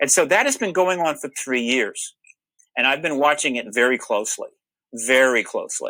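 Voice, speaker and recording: A man speaks loudly at a moderate pace, his fairly high voice bright and sharp in tone. His pitch varies in an ordinary way, and the recording is very clean with a silent background. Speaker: UFO disclosure researcher. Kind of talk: panel talk.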